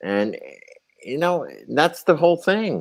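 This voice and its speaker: A man with an American accent and a plain, everyday voice speaks at a fairly slow pace with lively intonation. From Connecticut. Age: 60s. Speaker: hemp entrepreneur. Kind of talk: casual chat.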